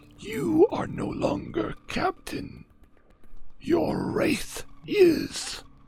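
A man uses a put-on character voice, raspy and at an extremely high pitch. He talks at a very slow pace with long, frequent pauses. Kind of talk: spooky ghost voice. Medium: actual play. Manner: terse, slow, solemn.

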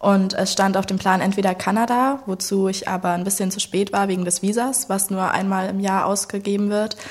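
Against noticeable background noise, a woman of medium pitch speaks in a monotone, flat intonation at a moderate pace with hardly any pauses. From Saxony, Germany (Leipzig). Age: 20s. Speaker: backpacker. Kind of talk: casual chat.

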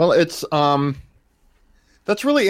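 A man with an unremarkable speaking voice, lively intonation and a moderate pace, on a very clean recording with a silent background. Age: 40s. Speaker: artist and podcaster. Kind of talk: casual chat.

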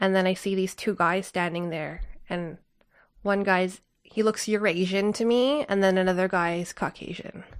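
Here a woman has an unremarkable speaking voice at a medium pitch, with fairly even intonation and a moderate pace. The recording is very clean, with a silent background. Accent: Canadian. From Canada. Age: 30s. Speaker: traveler. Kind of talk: casual chat.

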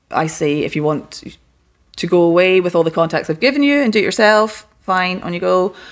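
A woman with a Scottish accent and ordinary pitch variation. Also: very clean recording, silent background. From Scotland, west coast. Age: 40s. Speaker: interior designer. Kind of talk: casual chat. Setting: at her home.

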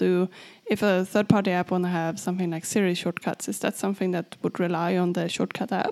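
Moving at a fairly quick pace, a woman with a Swedish accent speaks at a medium pitch with fairly even intonation. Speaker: tech podcast co-host. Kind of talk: casual chat.

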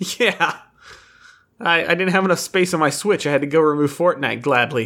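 A man with a fairly high, bright, sharp voice speaks at a moderate pace with ordinary pitch variation and very even loudness. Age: 30s. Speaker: gaming podcast co-host. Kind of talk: casual chat.

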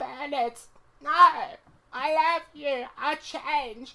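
The put-on character voice is high-pitched and delivered at a very slow pace. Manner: pleading.

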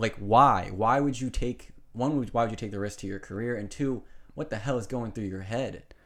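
A man speaks in a plain, everyday voice at a moderate pace. His pitch is medium, with ordinary variation. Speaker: podcast host. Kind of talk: casual chat.

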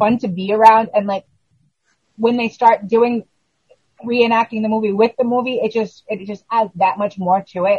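A woman with an unremarkable speaking voice, fairly high in pitch, talks at a moderate pace with ordinary pitch variation in a dry, close sound with no echo. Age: 40s. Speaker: horror podcast co-host. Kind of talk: casual chat.

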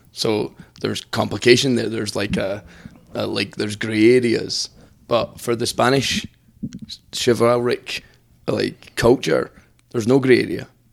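In a Scottish accent, a man speaks at a fairly slow pace with vocal fry and a medium pitch. He leaves long, frequent pauses. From Scotland. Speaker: priest. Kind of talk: casual chat.

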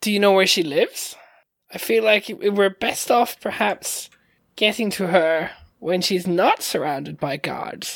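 A put-on character voice, female-sounding, medium in pitch for a woman, at a moderate pace. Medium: actual play. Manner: blunt, matter-of-fact.

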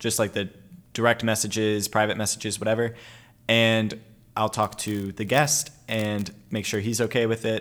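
A normal speaking voice from a man, medium in pitch, at a moderate pace, on a very clean recording with a silent background. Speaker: college student podcast host. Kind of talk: casual interview.

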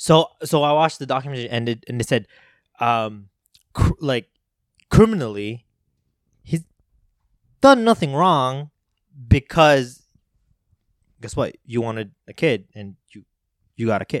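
A man with a non-native accent speaks fairly slowly, with long, frequent pauses and big swings in loudness. His medium-pitched voice has lively intonation and a dry, close sound with no echo. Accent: non-native accent, noticeable on some words. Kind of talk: casual chat. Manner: halting, many fillers and repeats.

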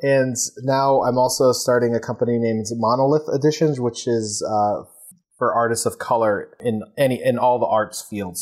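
An ordinary speaking voice from a man, medium in pitch, moderately paced, with ordinary pitch variation. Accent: American. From New York, Queens. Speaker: photographer and publisher. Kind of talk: interview.

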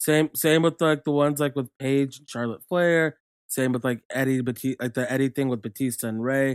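A man talks at a moderate pace with medium pitch and fairly even intonation, in an unremarkable speaking voice. The sound is dry and close, with no echo. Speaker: podcast co-host. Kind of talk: casual banter about wrestling.

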